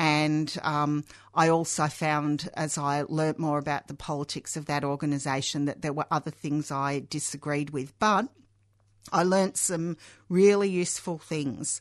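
With an Australian accent, a woman speaks fairly slowly at a very deep, low pitch, with fairly even intonation and a quiet background. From England, Hull (Yorkshire), raised in Australia from age six. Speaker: socialist activist. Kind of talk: radio interview. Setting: radio studio. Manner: halting, many fillers.

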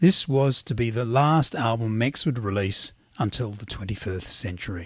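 A somewhat breathy man's voice at medium pitch, moderate pace and lively intonation, on a very clean recording with a silent background. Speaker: radio host. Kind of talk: scripted radio presenting, reading a biography aloud.

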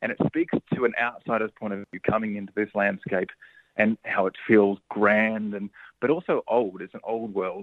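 A man talks at a moderate pace with an Australian accent and a fairly low pitch. His intonation stays fairly even while his loudness swings widely. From regional Victoria, Australia (Cobram, Murray River). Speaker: film director. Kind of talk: interview. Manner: halting.

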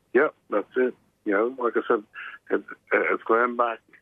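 With an Australian accent, a man is speaking. His pace is fairly slow. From Brisbane, Australia. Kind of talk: radio interview.

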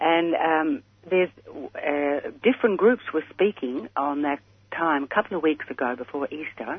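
Speaking with an Australian accent, a woman with a fairly low pitch uses lively intonation at a fairly slow pace. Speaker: caller. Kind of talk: call-in question on radio. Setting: phone call. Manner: halting.

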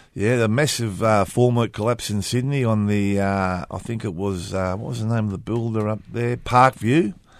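With an Australian accent, a man speaks at a moderate pace in a fairly low voice, with hardly any pauses. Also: ordinary pitch variation, quiet background. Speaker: community radio host, construction union. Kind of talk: casual chat.

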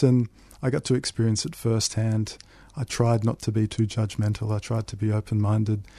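Against a quiet background, a man with an Australian accent talks at a moderate pace in a medium pitch, his tone dark and mellow, his intonation fairly even, and the sound dry and close with no echo. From Melbourne northern suburbs, Australia. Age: 30s. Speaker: author. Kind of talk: interview.

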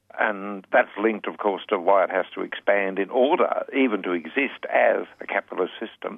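A man with an Australian accent talks with hardly any pauses. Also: moderate pace. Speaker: political commentator. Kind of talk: radio interview.

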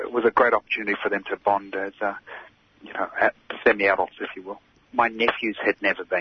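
Over noticeable background noise, a man talks very fast, with long, frequent pauses and big swings in loudness. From Palestinian heritage. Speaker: activist. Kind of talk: interview.

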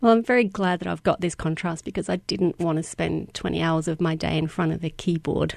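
A woman with an Australian accent speaks at a fairly quick pace, her voice fairly low with vocal fry and ordinary pitch variation. The background is quiet. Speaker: educational games designer. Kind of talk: interview.

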